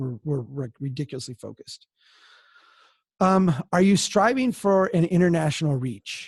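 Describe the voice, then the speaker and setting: A man in an American accent, somewhat breathy, with lively intonation at a moderate pace, in a very clean recording with a silent background and a dry, close sound free of echo. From Minnesota. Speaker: organization founder and president. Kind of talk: Q&A session. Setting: webcast.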